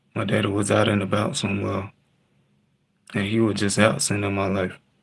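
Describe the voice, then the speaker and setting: This man has a fairly low voice with vocal fry, and he talks fairly quickly in a flat, monotone way. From Texas. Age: 20s. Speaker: livestreamer. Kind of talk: personal storytelling on livestream. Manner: halting.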